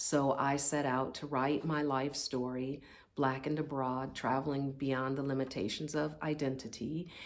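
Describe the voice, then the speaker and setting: In a room with audible echo, a woman speaks in a monotone, flat intonation at a very deep, low pitch. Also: fairly slow pace. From US Midwest, Indianapolis, Indiana. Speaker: author. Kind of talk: personal pitch video. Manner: halting.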